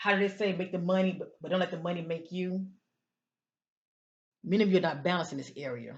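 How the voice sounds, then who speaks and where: Somewhat breathy speech with ordinary pitch variation and long, frequent pauses. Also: woman, medium pitch for a woman. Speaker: tarot/oracle card reader. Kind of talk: oracle card reading for zodiac signs. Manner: slowing down, less rushed; hesitant with fillers.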